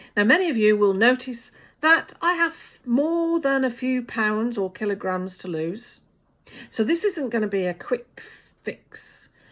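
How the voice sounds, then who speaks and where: A woman with a high voice speaks at a fairly slow pace, her pitch swinging very widely. The recording is very clean, with a silent background. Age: 60s. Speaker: vlogger. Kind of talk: personal vlog talk to camera.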